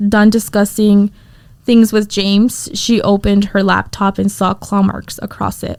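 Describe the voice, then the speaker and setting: A woman speaks at a fairly slow pace in a medium-pitched voice. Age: 20s. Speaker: podcast co-host. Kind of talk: casual chat. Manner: stuttering.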